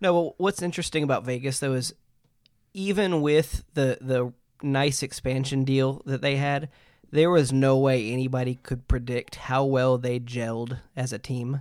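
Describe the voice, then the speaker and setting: A man's plain, everyday voice, medium in pitch, with ordinary pitch variation and a moderate pace. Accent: American. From Nashville then Detroit, Michigan. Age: 30s. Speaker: hockey fan guest. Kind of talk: casual chat.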